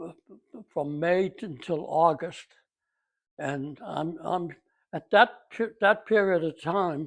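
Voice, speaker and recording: A man with a high voice speaks at a very slow pace, leaving long, frequent pauses. His loudness swings widely, his pitch varies in an ordinary way, and the background is quiet. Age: 80s+. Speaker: war veteran. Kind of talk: interview. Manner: halting.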